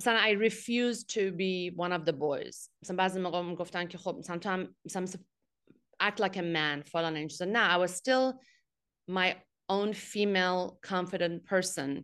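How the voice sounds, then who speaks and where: The woman's voice sits at a medium pitch, its rise and fall ordinary. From Iran, Abadan (Khuzestan). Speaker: tech executive and foundation head. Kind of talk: interview, personal life story. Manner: frequent fillers and hesitations.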